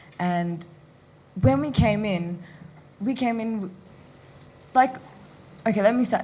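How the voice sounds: A woman's slow, medium-pitched voice with a dark, mellow tone and audible room echo. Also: ordinary pitch variation.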